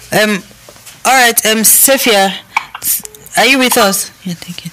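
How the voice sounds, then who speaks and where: A woman's fairly high voice at a fairly slow pace, with long, frequent pauses, ordinary pitch variation and noticeable background noise. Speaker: radio host. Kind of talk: radio talk show.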